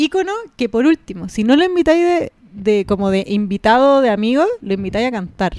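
The recording is dry and close with no echo. A woman speaks with very wide pitch swings. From Chile, Puente Alto (Santiago). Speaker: podcast co-host. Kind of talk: casual chat.

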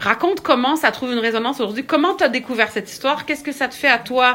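A woman's high-pitched voice with a Quebec accent and ordinary pitch variation over noticeable background noise. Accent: Québécois French. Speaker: writer. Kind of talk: interview. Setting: at home.

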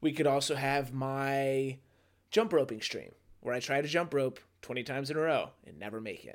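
In a very clean recording with a silent background, a man with a normal speaking voice and a fairly high pitch talks at a moderate pace, showing ordinary pitch variation and big swings in loudness. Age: 30s. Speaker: podcast co-host. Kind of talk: casual chat.

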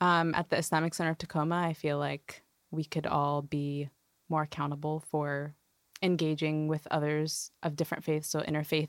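With a General American accent, a woman speaks at a moderate pace in a very deep, low pitch and a monotone, flat intonation. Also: very clean recording, silent background. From US Pacific Northwest, Washington. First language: Arabic. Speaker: academic advisor. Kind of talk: casual chat.

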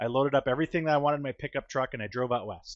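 Here a man talks with an American accent. His intonation is fairly even. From New Hampshire, US (Manchester). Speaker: state forestry program manager. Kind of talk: interview.

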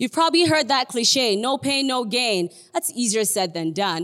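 A woman with a Nigerian accent speaks with very wide swings in pitch. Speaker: guest preacher. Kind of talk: sermon. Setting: church livestream.

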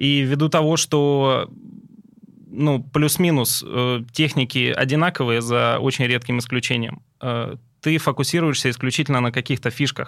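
A man talks at a moderate pace and medium pitch, with fairly even intonation and very even loudness. Long, frequent pauses break up his speech on a very clean recording with a silent background. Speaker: chef. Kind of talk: casual chat. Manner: terse.

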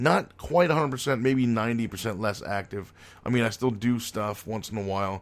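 On a very clean recording with a silent background, a man with an American accent talks at a fairly slow pace in an ordinary speaking voice, fairly low in pitch with ordinary pitch variation. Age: 30s. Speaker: podcast host, retired pro wrestler. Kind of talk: casual solo monologue.

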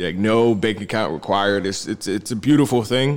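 A man with a plain, everyday voice talks at a fairly quick pace, his fairly low pitch showing ordinary pitch variation. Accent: American. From New Jersey. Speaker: crypto investor. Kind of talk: casual chat.

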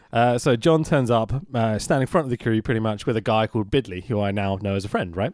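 A man speaks with a London accent at medium pitch. The recording is very clean, the background silent. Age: 30s. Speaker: podcast host, video editor. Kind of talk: casual chat. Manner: animated.

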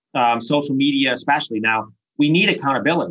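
A man with an American accent at a fairly quick pace, a plain, everyday voice with ordinary pitch variation. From Chicago, US Midwest. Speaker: business school professor. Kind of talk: interview.

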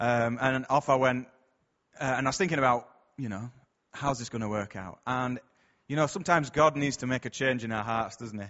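A man with a Yorkshire accent speaks with ordinary pitch variation, big swings in loudness, and long, frequent pauses. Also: medium pitch for a man, fairly quick pace. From Bradford, northern England. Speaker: church speaker. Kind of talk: sermon. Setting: church. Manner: hesitant, conversational.

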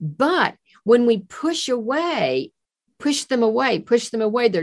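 A woman speaks in a fairly high pitch with very wide pitch swings. The background is quiet. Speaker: therapist and sound healer. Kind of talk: interview conversation. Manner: soft-spoken.

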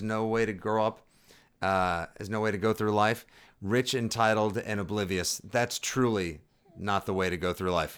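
A man with an American accent uses an ordinary speaking voice at a fairly low pitch and moderate pace, recorded very cleanly against a silent background. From Boston. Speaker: sports podcast co-host. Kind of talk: casual chat.

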